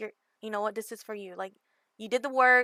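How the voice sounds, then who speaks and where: A woman with an American accent speaks in a fairly high voice with a bright, sharp tone and ordinary pitch variation, the sound dry and close with no echo. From Southern California. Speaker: gaming community manager. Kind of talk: podcast interview.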